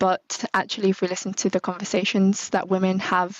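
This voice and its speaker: A woman's medium-pitched voice at a moderate pace. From UK. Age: 20s. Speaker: marketing manager. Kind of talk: interview.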